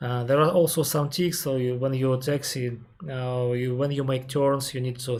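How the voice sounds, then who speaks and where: With a Russian accent, a man speaks at medium pitch and a moderate pace in a monotone, flat intonation, his dark, mellow tone somewhat breathy, in a very clean recording with a silent background. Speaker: airline captain and aviation streamer. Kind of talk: live Q&A stream. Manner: halting, many fillers.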